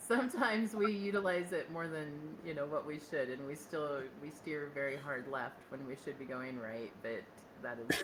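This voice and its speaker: With audible room echo and noticeable background noise, a woman speaks at a moderate pace in a very deep, low voice. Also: lively intonation. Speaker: podcast host. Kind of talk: casual chat.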